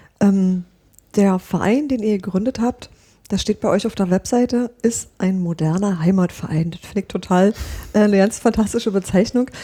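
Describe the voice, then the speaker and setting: Somewhat breathy and dark, mellow in tone, a woman's medium-pitched voice moves at a moderate pace with ordinary pitch variation. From Brandenburg. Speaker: podcast host. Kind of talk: interview.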